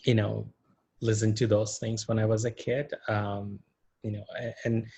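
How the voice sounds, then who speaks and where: A man's medium-pitched, somewhat breathy voice has a dark, mellow tone and a moderate pace. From India. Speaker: interview show host. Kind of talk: interview.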